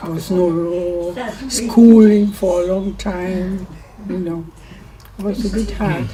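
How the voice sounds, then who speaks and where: A woman's very slow, medium-pitched speech with fairly even intonation, long, frequent pauses and audible room echo. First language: German. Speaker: war-time childhood witness. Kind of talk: oral history interview.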